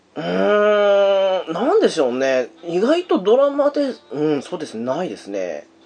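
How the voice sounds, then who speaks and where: Hardly pausing, a man speaks at a fairly slow pace with big swings in loudness. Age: 30s. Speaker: podcast host. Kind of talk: casual chat.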